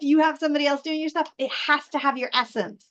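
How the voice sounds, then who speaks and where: A woman speaks loudly. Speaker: live show host and communication coach. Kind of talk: live stream teaching talk. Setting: live stream.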